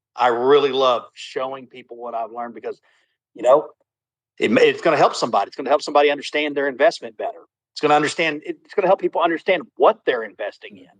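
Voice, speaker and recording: This man's pitch is fairly high with ordinary variation, and he talks at a very fast pace. The sound is dry and close with no echo, while his loudness swings widely. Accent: Southern US. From Texas. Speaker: contractor, crypto project member. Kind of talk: casual livestream chat. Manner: halting, many repetitions.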